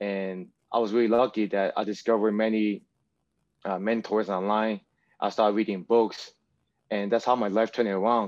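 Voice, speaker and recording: Against a quiet background, a man talks at a fairly quick pace in a fairly low, flat, monotone voice. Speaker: fitness trainer and student. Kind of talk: casual chat. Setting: video call.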